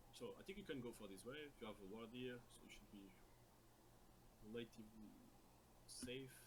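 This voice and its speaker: A man with a non-native accent sounds somewhat breathy, his pitch varying in an ordinary way. He leaves long, frequent pauses, and audible room echo is present. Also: medium pitch for a man, moderate pace. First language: not English. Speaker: video game coach. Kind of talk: coaching session review. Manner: halting, repeated words.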